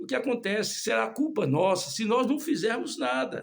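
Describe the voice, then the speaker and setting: The voice keeps a moderate pace while making very wide pitch swings. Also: man. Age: 60s. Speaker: lay preacher. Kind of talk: sermon. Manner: halting.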